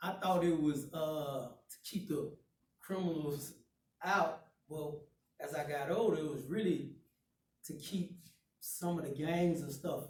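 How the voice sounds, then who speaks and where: A man with a Southern US accent speaks at a fairly slow pace and a fairly high pitch, with fairly even intonation. He takes long, frequent pauses, and audible room echo surrounds him. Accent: country Southern. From Chattanooga, Tennessee (US South). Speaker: guest speaker. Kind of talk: life story talk to students.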